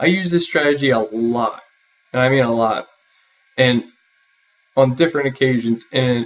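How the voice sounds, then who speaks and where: At a moderate pace, a man with a medium pitch and ordinary pitch variation speaks with long, frequent pauses. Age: 20s. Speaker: university student. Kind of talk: self-interview, prepared answers. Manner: formal.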